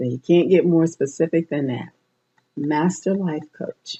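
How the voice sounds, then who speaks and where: A woman speaks with ordinary pitch variation. Her voice sits fairly low. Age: 60s. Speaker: radio host and life coach. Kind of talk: personal monologue on radio show. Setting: internet radio show. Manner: halting.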